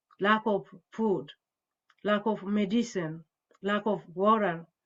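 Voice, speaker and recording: A woman with an Ethiopian accent speaks at a very slow pace. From Ethiopia, Wolaita. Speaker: panelist in a peace discussion. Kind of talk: online panel discussion. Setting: video call. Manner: halting.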